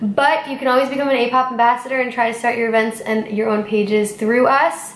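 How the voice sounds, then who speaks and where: A woman talks at a fairly quick pace with ordinary pitch variation, in audible room echo. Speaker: au pair channel host. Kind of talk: casual Q&A vlog chat. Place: home room. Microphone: camera far.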